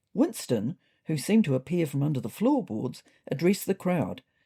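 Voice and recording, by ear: A woman's low-pitched voice, dark and mellow in tone, with a slightly husky edge, vocal fry, big pitch swings and a moderate pace.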